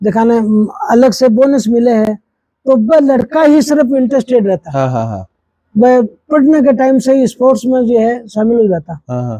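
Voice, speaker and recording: A man's extremely high-pitched voice with a dark, mellow tone and a dry, close sound with no echo. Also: ordinary pitch variation. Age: 80s+. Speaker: lawyer and senior athlete. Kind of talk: interview answer.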